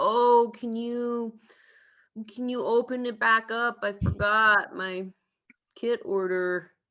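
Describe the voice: A put-on character voice, female-sounding and fairly high for a woman, whiny in tone and very slow, broken by long, frequent pauses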